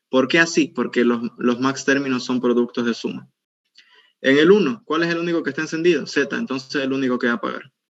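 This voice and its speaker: It is an unremarkable speaking voice delivered at a fairly quick pace. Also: man, medium pitch for a man, ordinary pitch variation. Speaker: university teaching assistant. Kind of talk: tutorial.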